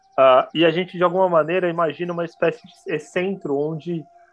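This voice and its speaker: Noticeable background noise sits behind a man with a high pitch. He talks at a fairly quick pace. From São Paulo, Brazil (Pirituba, north/west zone). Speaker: international relations graduate, podcast guest. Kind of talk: casual chat about books. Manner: halting, many repetitions.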